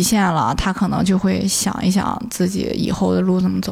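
Noticeable background noise surrounds a woman who talks fairly quickly. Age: 30s. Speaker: former film industry worker, tea house owner. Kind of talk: casual interview chat. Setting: tea house.

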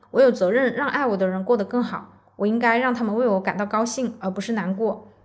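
A woman's fairly high, somewhat breathy voice at a fairly quick pace. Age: 20s. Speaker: podcast host. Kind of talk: solo podcast monologue.

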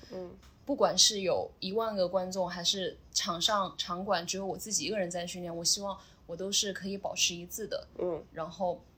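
A woman speaks at a moderate pace with a bright, sharp tone and medium pitch. Her intonation stays fairly even. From Sichuan / Chongqing, China. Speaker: CrossFit athlete and coach. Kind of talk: interview.

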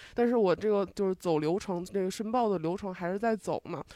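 A woman speaks at a very fast pace in a medium pitch, with a dark, mellow tone. Her intonation stays fairly even. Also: quiet background. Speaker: audience member. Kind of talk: casual chat.

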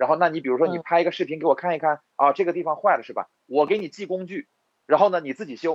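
A man's voice, high in pitch, very fast, with big swings in loudness and ordinary pitch variation. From Inner Mongolia, Hulunbuir. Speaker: entrepreneur, electronics company owner. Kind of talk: interview.

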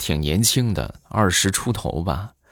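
Recorded very cleanly against a silent background, a man's voice shows vocal fry and very wide pitch swings. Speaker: podcast host. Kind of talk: comic storytelling monologue. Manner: animated.

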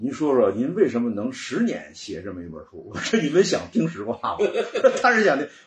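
A man with a fairly high pitch speaks at a fairly quick pace, with very wide pitch swings and big swings in loudness. Noticeable background noise runs underneath. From northern China, Cangzhou area of Hebei. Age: 40s. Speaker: antique furniture collector. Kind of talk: casual interview chat.

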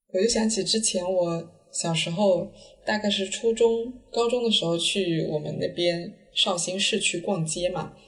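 Through noticeable background noise, a woman at a medium pitch speaks at a fairly slow pace with ordinary pitch variation. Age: late 20s. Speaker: podcast host. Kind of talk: casual chat. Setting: at home.

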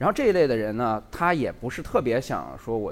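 Pitched medium with vocal fry, a man talks at a very fast pace. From Lanzhou, Gansu, China. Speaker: video creator. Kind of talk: live talk show chat. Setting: stage with audience.

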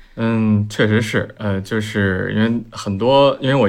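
With an ordinary speaking voice, a man talks at a moderate pace in a medium pitch, his intonation fairly even. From Beijing. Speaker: urban renewal project founder. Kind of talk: casual panel discussion.

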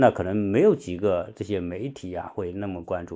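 A man at a fairly slow pace. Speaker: podcast livestream host. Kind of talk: livestream monologue. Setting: online livestream with listeners. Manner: halting, many fillers.

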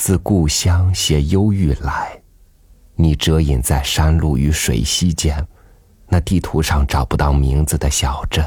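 Over noticeable background noise, a man talks at a very slow pace in a very deep, low pitch with ordinary pitch variation. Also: very even loudness. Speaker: podcast host reading an essay. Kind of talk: literary audiobook reading, reflective prose essay. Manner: slow, contemplative, wistful, gently measured; soft, intimate, pausing between phrases.

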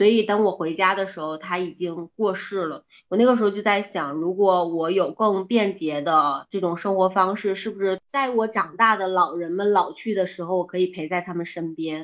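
A woman with a plain, everyday voice speaks at a medium pitch and a moderate pace, with ordinary pitch variation and hardly any pauses. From Jinzhou, Liaoning, northeast China. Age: 30s. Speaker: community operations manager. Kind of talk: casual chat.

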